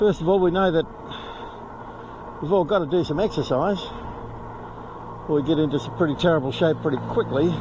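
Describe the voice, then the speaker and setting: Amid noticeable background noise, a man with a fairly high pitch talks at a fairly quick pace, with ordinary pitch variation and long, frequent pauses. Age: 70s. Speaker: retired expat vlogger. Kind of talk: casual vlog monologue. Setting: outdoors on a bike.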